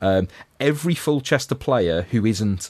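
With a Liverpool accent, the speaker talks at a moderate pace against a quiet background. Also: man. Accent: Scouse. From Liverpool, England. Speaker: podcast co-host. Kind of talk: casual chat.

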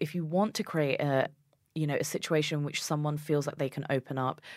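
A woman with a British accent and a very deep, low voice, on a very clean recording with a silent background. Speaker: journalist and weightlifter. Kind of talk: interview chat.

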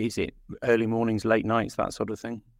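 Over a quiet background, a man with an English accent talks at a fairly quick pace in a medium pitch. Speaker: interviewer and producer. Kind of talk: casual interview.

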